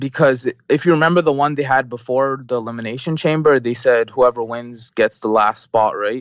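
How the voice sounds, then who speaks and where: An ordinary speaking voice in a Canadian accent, at a moderate pace with fairly even intonation. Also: man, medium pitch for a man. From Canada. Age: 20s. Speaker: wrestling fan guest. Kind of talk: casual chat.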